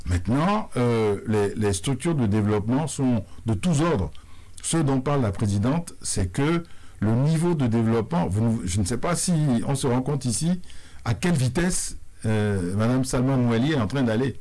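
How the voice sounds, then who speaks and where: Over a quiet background, a man speaks at a fairly slow pace with lively intonation. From Benin. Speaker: sports confederation president. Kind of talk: radio interview. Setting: radio studio. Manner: formal. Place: studio. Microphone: studio mic.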